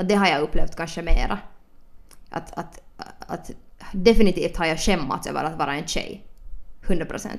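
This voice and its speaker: A woman's fairly low voice at a moderate pace, with ordinary pitch variation, big swings in loudness and long, frequent pauses. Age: 20s. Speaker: podcast host. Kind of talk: casual chat. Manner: animated.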